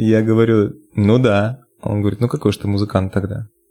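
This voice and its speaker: At a moderate pace, a man talks in a normal speaking voice. His pitch sits fairly low. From Russia, Yamalo-Nenets region (Nadym). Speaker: bass player and singer. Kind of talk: casual interview.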